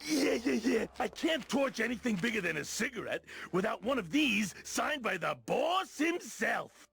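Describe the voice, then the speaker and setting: A man uses a put-on character voice with an extremely high pitch, talking at a moderate pace with hardly any pauses. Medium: video game. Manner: eager, emotional.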